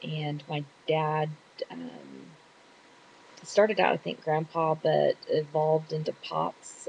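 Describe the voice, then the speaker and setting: A woman with a Texan accent. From Texas. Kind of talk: casual talk to camera. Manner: hesitant, chatty.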